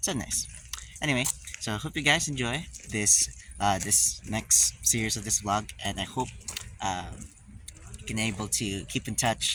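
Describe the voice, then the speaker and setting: Noticeable noise sits behind a man's medium-pitched voice. His intonation is lively. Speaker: travel vlogger. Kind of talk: casual vlog narration. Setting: outdoors and on trains. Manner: hesitant, many fillers.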